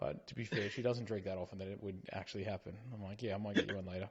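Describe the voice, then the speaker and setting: A man talks at a very fast pace with an Australian accent. His voice is somewhat breathy. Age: middle-aged. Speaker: podcast co-host. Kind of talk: casual chat.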